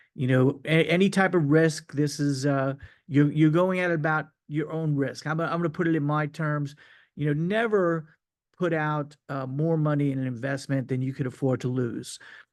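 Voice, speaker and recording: A man's fairly high-pitched voice with ordinary pitch variation, against a quiet background. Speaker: crypto marketing presenter. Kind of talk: sales pitch. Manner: hesitant, many fillers.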